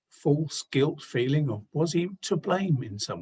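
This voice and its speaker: This man's intonation is lively. There is a somewhat breathy quality to his voice. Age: 60s. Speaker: pastor. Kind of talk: sermon.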